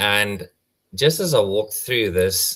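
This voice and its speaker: A man with an Afrikaans accent speaks at a fairly slow pace. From South Africa. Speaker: tortoise conservationist. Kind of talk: casual chat, anecdote. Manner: halting, many fillers.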